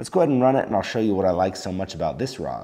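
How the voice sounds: A man with a low pitch and a dark, mellow tone talks at a very fast pace, his pitch swinging widely.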